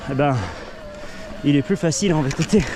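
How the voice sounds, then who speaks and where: With ordinary pitch variation, a man speaks at a fairly high pitch amid noticeable background noise. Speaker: cycling vlogger. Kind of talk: vlog while mountain biking. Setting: outdoors on an e-mountain bike.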